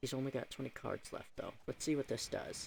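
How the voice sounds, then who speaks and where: A quiet man speaks at a moderate pace and a medium pitch. Vocal fry runs through his voice. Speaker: gaming YouTuber. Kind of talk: gameplay commentary. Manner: casual, thinking aloud.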